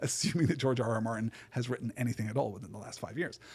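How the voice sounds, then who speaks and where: The voice is a man's. It carries a somewhat breathy quality. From Britain. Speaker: podcast host discussing books. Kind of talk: solo podcast lecture. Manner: frequent repetitions and fillers like 'right?'.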